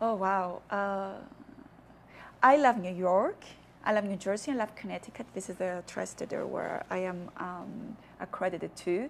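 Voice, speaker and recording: In a Cypriot accent, a woman speaks at a fairly slow pace. Her voice sits at a medium pitch with ordinary pitch variation. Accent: Greek Cypriot. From Cyprus, Famagusta. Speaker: diplomat. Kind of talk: TV interview.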